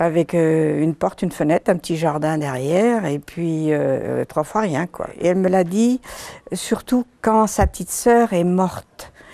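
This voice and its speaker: The voice has a Breton accent and a dark, mellow tone. It moves at a fairly slow pace with lively intonation. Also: woman, fairly low pitch for a woman. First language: Breton (speaking French). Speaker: author. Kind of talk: interview.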